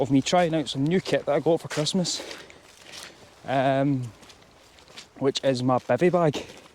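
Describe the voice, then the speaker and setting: Amid noticeable background noise, a man with a fairly high pitch speaks at a fairly slow pace with ordinary pitch variation and long, frequent pauses, in a dry, close sound with no echo. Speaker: hill walking vlogger. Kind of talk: casual vlog narration while hiking. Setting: outdoors on hills.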